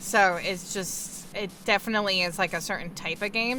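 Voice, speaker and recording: A woman with an American accent talks at a moderate pace in a medium pitch. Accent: noticeable accent, comes out at times. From New York. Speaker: video game streamer. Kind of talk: casual chat. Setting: live stream.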